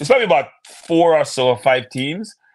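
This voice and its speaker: A man speaks with a Jamaican accent at a moderate pace. The background is quiet. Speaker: football pundit. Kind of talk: casual chat. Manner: halting.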